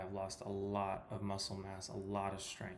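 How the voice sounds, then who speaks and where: Audible room echo surrounds a man speaking with an American accent at a fairly slow pace and a fairly low pitch. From California. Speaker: personal trainer. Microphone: poor sound quality.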